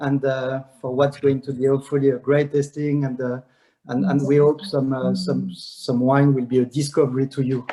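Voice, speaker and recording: Monotone, flat intonation from a man with a strong French accent, a dark, mellow tone and a moderate pace. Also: medium pitch for a man. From France. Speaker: wine brand ambassador, master sommelier. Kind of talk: virtual wine tasting presentation. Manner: halting, many fillers.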